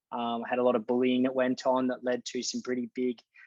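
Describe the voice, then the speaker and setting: This man's voice sits at a medium pitch. He talks at a fairly quick pace. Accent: Australian. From Australia, rural New South Wales. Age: 20s. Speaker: mental performance coach. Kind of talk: podcast interview.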